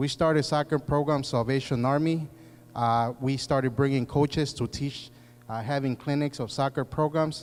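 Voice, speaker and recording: A man with a Spanish accent speaks in a fairly high pitch with fairly even intonation. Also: moderate pace. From Mexico, then Chicago from age nine. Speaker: political candidate, former police officer. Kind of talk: candidate forum speech. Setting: community forum with audience. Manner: halting, many fillers.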